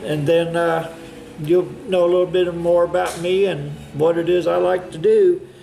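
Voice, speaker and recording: With an American accent, a man talks in a flat, monotone way at a moderate pace, with audible room echo and noticeable background noise. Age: 60s. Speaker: hobbyist woodworker. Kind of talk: casual vlog monologue. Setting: workshop. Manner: halting, many fillers.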